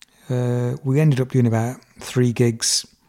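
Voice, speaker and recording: A man with an English Midlands accent talks in a monotone, flat intonation. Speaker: musician. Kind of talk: storytelling interview. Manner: relaxed, with filler words.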